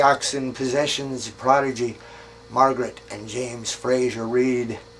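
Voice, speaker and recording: A man with a fairly high voice is heard through noticeable background noise. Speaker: poet. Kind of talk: poetry reading. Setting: outdoors. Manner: wry, darkly humorous.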